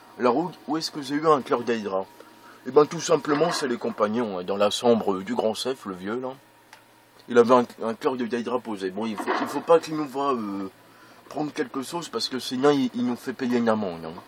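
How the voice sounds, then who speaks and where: Over noticeable background noise, a man with a medium-pitched voice speaks at a moderate pace with lively intonation and big swings in loudness. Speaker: gaming video creator. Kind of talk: let's play commentary. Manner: hesitant, many fillers.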